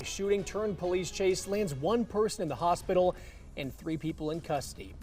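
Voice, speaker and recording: Speech moves at a moderate pace with ordinary pitch variation. Music plays in the background. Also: man. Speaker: news anchor. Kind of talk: TV news anchor read.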